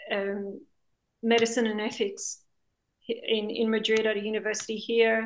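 At a moderate pace, a woman speaks in a fairly high pitch with an Australian accent. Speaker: documentary filmmaker. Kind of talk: interview.

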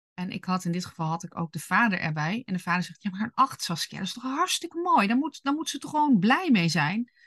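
A woman at medium pitch talks at a very fast pace with hardly any pauses. Her pitch swings very widely and her loudness swings a lot. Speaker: parenting podcast host / coach for gifted children. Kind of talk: solo podcast talk with advice. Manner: speaks higher and faster when annoyed.

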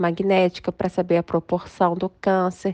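A woman's dark, mellow voice sounds dry and close, with no echo. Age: 40s. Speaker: lawyer and author, cancer survivor. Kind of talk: interview testimony.

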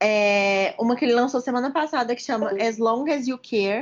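A woman with an ordinary speaking voice, fairly high in pitch, with ordinary pitch variation at a moderate pace. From Minas Gerais, Brazil (Juiz de Fora). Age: 20s. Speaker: medical student. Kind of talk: casual chat.

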